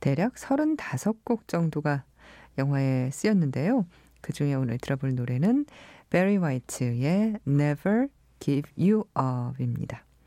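On a very clean recording with a silent background, the speaker talks at a very slow pace. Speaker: radio host. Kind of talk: radio show hosting. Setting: radio studio.

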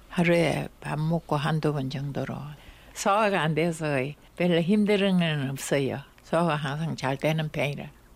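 A woman speaks with a very deep, low pitch. Her pace is fairly slow, with ordinary pitch variation. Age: 90s. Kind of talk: recorded interview.

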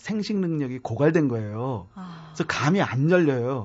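This man's voice sits at a fairly high pitch. It swings very widely up and down. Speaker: tree columnist and author. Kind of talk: interview. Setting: studio.

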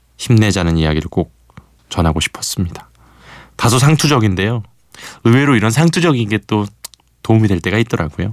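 A man with a fairly low pitch, lively intonation, and long, frequent pauses. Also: fairly quick pace. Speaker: radio DJ. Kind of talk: radio show hosting. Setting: radio studio. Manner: warm, conversational.

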